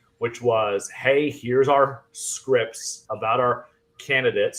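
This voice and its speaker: A man speaks with an American accent. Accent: Fargo accent, occasional. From US Midwest, North Dakota (Fargo). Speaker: real estate agent and sales trainer. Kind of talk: podcast interview. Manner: casual, many fillers.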